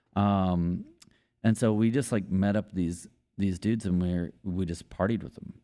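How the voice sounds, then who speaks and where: In a very clean recording with a silent background, a man with an American accent speaks at a moderate pace in a fairly low pitch, with fairly even intonation and a dark, mellow tone. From East Texas, Longview. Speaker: country musician, former bartender. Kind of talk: casual storytelling chat.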